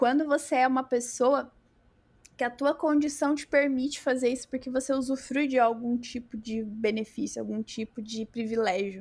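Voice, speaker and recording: A woman speaks with a high pitch. Her intonation is fairly even. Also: very clean recording, silent background. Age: 30s. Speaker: software developer and tech lead. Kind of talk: casual chat.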